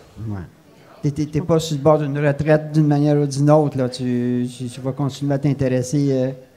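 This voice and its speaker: A man's fairly high, dark, mellow voice, fairly quick, in a monotone, flat intonation. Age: 70s. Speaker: radio show host. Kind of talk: interview. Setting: café venue.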